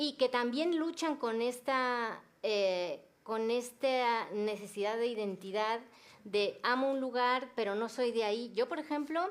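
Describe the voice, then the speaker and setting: The recording is very clean, with a silent background. A woman speaks very slowly at a high pitch, with ordinary pitch variation. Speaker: novelist. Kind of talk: panel discussion.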